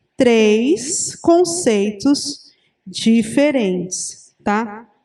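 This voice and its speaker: Speaking very slowly, a woman uses lively intonation in a fairly high voice with a dark, mellow tone. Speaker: teacher. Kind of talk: lecture.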